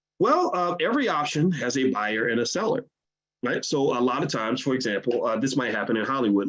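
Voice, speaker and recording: The speaker is a man with an American accent. He talks fairly quickly. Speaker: finance educator. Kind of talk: livestream lecture. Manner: fast when excited; halting repetitions.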